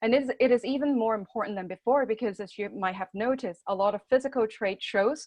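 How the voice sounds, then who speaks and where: Very fast and with hardly any pauses, a woman speaks with ordinary pitch variation. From Hong Kong. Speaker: marketing director presenting a webinar. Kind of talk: webinar presentation. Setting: working from home, online webinar.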